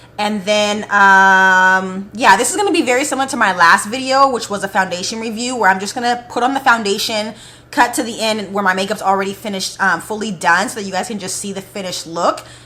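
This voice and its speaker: A woman speaks very fast with hardly any pauses, her medium pitch moving in an ordinary way and her tone animated. Noticeable background noise runs behind her. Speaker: beauty vlogger. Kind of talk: casual vlog talk to camera.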